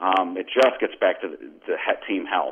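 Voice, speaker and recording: A man speaks with an ordinary speaking voice at a fairly low pitch. His pace is fairly quick, with ordinary pitch variation. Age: 50s. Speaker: sports website editor. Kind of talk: casual interview.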